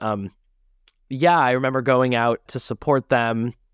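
With an unremarkable speaking voice, a man talks at a fairly slow pace and medium pitch in a very clean recording with a silent background and a dry, close sound with no echo. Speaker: musical theater actor. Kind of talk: casual interview. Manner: laughs often.

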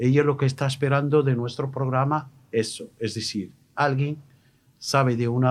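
A man speaks with a Moroccan accent. His intonation is fairly even. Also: very clean recording, silent background. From Morocco. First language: Moroccan Arabic (speaking Spanish). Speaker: radio host. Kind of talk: radio interview. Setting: studio. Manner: halting.

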